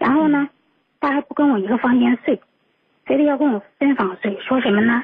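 Long, frequent pauses break up a woman's fairly quick speech. Her pitch is high, with ordinary variation. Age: 40s. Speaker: radio call-in listener. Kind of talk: personal story on call-in show. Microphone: too quiet.

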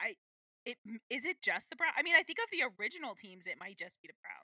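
A woman's raised, projected, animated voice with an American accent, extremely high pitch, very wide pitch swings, a bright, sharp tone and a fairly quick pace, dry and close with no echo. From US, Washington D.C. area. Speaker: podcast co-host. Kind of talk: casual chat.

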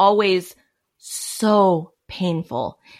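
A woman's medium-pitched voice with fairly even intonation, on a very clean recording with a silent background. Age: 30s. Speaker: cult survivor. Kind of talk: casual chat.

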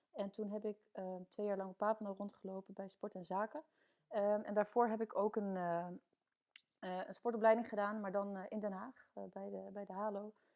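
A woman's medium-pitched, flat, monotone voice at a moderate pace. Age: 20s. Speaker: sports club support officer. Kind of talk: podcast interview.

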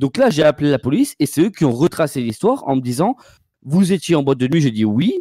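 In a dry, close sound with no echo, a man talks at a fairly quick pace with a dark, mellow tone, lively intonation and very even loudness. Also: fairly high pitch for a man. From Bordeaux, France. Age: 20s. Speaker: caller. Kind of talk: personal story on a call-in show.

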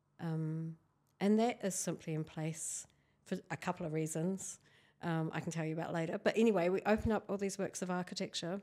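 A woman with a New Zealand accent speaks at a fairly quick pace in a fairly low, dark, mellow tone, in a very clean recording with a silent background. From New Zealand, Canterbury. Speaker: architectural historian. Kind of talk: interview.

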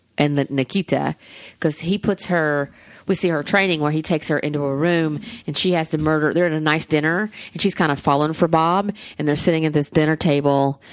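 Against a quiet background, a woman speaks with a Southern US accent at a fairly quick pace. Her pitch is very deep and low. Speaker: podcast host. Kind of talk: casual chat. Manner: rambling, animated.

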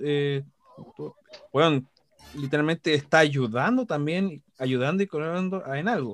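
Dry, close sound with no echo, a fairly slow pace, ordinary pitch variation and long, frequent pauses. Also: man, fairly high pitch for a man. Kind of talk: casual chat.

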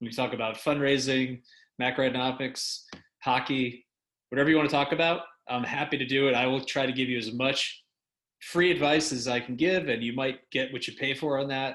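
A man with an unremarkable speaking voice talks fairly quickly at a medium pitch with fairly even intonation. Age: 30s. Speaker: real estate investment firm founder. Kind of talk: interview podcast.

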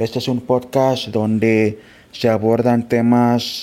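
Speaking at medium pitch, the man has a dark, mellow tone and a monotone, flat intonation. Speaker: fellow podcaster sending a greeting. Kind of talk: recorded congratulatory message. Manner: hesitant, searching for words.

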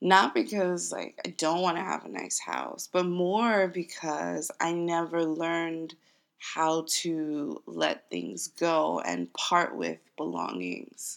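A woman talks at a very slow pace, and the recording is very clean with a silent background. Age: 30s. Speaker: podcast host. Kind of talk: solo monologue. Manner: casual, with frequent fillers.

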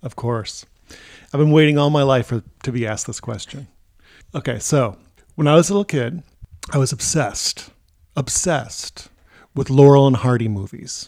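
Speaking at a moderate pace and medium pitch, a man leaves long, frequent pauses and uses ordinary pitch variation on a very clean recording with a silent background. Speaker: host's father, retired English teacher and writer. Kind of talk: casual family chat.

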